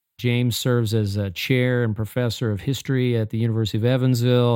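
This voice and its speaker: In an unremarkable speaking voice, a man talks at a fairly quick pace with a medium pitch, fairly even intonation and hardly any pauses. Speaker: podcast host. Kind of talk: interview conversation.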